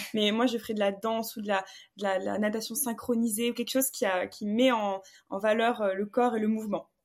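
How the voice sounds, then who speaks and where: Monotone, flat delivery from a woman, fairly high in pitch. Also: fairly quick pace, very clean recording, silent background. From southwestern France, Bordeaux. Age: 20s. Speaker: fencer and entrepreneur. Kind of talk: casual interview.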